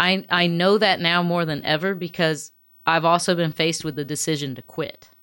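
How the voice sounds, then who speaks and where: A normal speaking voice at a moderate pace. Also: woman, fairly low pitch for a woman, fairly even intonation. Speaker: singer-songwriter. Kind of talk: casual chat.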